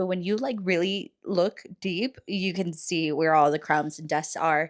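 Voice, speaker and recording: With an American accent and a normal speaking voice, a woman talks at medium pitch and a moderate pace with ordinary pitch variation, on a very clean recording with a silent background. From Texas. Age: 20s. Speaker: lifestyle vlogger. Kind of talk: casual voiceover vlog narration.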